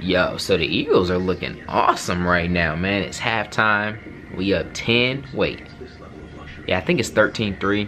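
A man at a fairly low pitch and fairly slow pace, with clear music in the background. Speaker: vlogger. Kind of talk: casual vlog chat. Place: home room.

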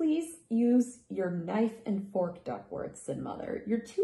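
The speaker gives a plain reading aloud, with lively intonation.

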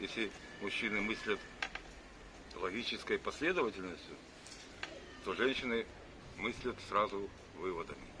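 A man's fairly low voice at a moderate pace, with ordinary pitch variation and noticeable background noise. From Brest, Belarus. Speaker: amateur joke teller. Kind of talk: casual anecdote telling to camera. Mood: relaxed, humorous. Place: cafe. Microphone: phone near.

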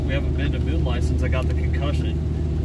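Amid loud background noise, a man's speech comes across dry, with no echo. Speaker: off-road vlogger. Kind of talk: casual vlog chat. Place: car. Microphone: phone near.

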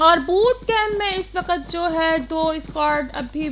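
Over noticeable background noise, a woman speaks in a raised, projected voice. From Pakistan. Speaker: esports streamer and commentator. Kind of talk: live commentary. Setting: live stream.

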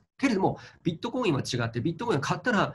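A man with a Chinese accent speaks in a somewhat breathy voice with very wide pitch swings, over light background noise. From China. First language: Chinese (speaking Japanese). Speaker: crypto investment commentator. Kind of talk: interview commentary. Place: home room. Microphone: webcam.

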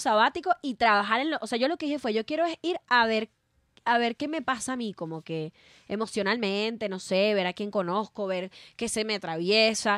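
A woman's fairly high-pitched voice, lively in intonation and fairly quick, with a dry sound and no echo. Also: quiet background. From Venezuela. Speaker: comedian. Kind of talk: casual chat. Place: studio. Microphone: studio mic.

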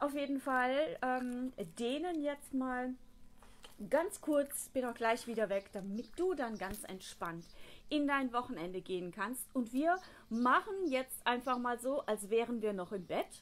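In a high voice, a woman talks at a fairly slow speed. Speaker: fitness coach. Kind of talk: casual instruction to viewers. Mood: relaxed, friendly. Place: garden.

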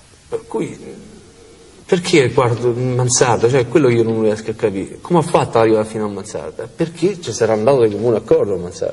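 Talking fairly quickly, a man keeps his intonation lively. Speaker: convicted prisoner; interviewee. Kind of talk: interview. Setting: prison. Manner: halting. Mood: earnest, troubled recounting. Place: hall. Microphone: lapel.

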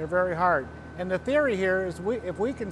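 Over noticeable background noise, a man talks in a high-pitched voice with ordinary pitch variation. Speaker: welding product demonstrator. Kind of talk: tutorial. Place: workshop. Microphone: lapel.

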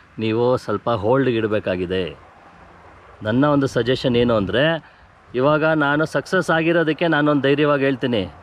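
A man's plain, everyday voice at medium pitch, with lively intonation and very even loudness. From Bengaluru, India. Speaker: natural farmer and farming trainer. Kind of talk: interview. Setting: outdoors on a farm.

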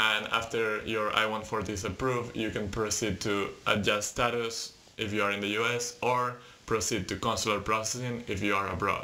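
A man speaks at a moderate pace and a fairly low pitch. His intonation is monotone and flat. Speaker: presenter. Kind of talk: tutorial. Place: home room. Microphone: webcam.

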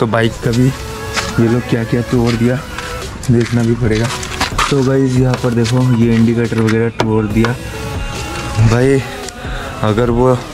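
With clear music in the background, a man speaks at a fairly slow pace in a monotone, flat delivery. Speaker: vlogger. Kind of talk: casual vlog chat. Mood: angry, upset after a fight.

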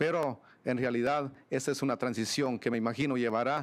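The man's medium-pitched voice moves at a moderate pace, varying in pitch in an ordinary way. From Guatemala. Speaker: mayor; mayor, panelist. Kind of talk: panel presentation; panel discussion answer. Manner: frequent hesitations with filler este. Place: meeting room. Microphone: podium.

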